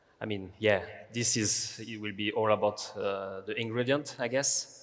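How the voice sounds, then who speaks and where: This man has a French accent and a fairly low pitch. He speaks at a fairly slow pace with fairly even intonation. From France. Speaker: pastry chef. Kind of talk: panel discussion.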